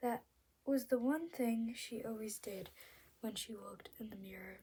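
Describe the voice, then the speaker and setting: A woman speaks at a moderate pace with a fairly high pitch and a dark, mellow tone. Her pitch varies in an ordinary way, while her loudness swings widely. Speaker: amateur reader. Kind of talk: novel read-aloud. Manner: halting, stumbles over words.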